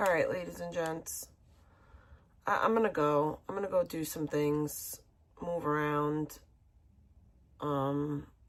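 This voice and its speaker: Very slow and marked by long, frequent pauses, a woman speaks with an American accent at a very deep, low pitch. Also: ordinary pitch variation. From small beach town outside Boston, Massachusetts. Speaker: livestreamer. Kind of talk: casual livestream sign-off.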